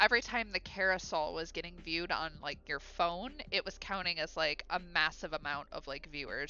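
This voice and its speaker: A woman with a fairly low pitch and ordinary pitch variation speaks at a fairly quick pace with hardly any pauses. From Ohio, US Midwest. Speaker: illustrator and streamer. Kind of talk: live stream chat while crafting. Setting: live stream.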